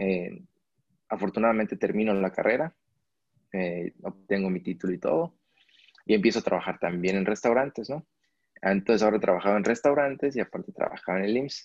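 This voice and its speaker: A fairly low-pitched man at a fairly quick pace, with long, frequent pauses, ordinary pitch variation, and a dry, close sound with no echo. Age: 30s. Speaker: travel photographer and videographer. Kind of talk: interview.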